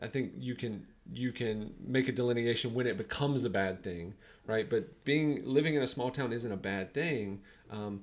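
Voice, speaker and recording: In a North Carolina accent, the speaker talks at a moderate pace with ordinary pitch variation. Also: man, medium pitch for a man. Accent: Southern US (North Carolina). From US South, North Carolina (Sanford). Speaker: business coach. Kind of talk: podcast interview.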